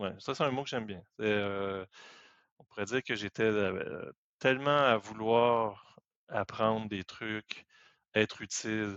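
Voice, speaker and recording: A man speaks at a very slow pace with fairly low pitch, fairly even intonation, and long, frequent pauses. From Quebec. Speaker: IT professional. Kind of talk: casual chat.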